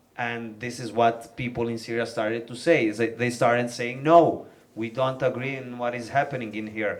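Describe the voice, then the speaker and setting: A man speaks at a medium pitch with a Milanese accent. His pace is moderate. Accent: Italian (Milanese) accent in English. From northern Italy, Milan. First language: Italian. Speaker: rapper. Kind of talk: panel talk. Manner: halting, many fillers.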